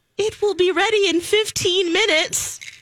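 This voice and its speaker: Using a put-on character voice, a soft-spoken woman talks at a moderate pace with an extremely high pitch. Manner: gentle, polite.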